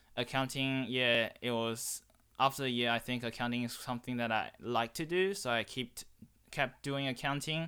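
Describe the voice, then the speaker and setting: A man's bright, sharp voice at medium pitch, with fairly even intonation, on a very clean recording with a silent background. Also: moderate pace. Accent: Chinese. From China. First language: Chinese. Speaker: student guest. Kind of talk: casual interview.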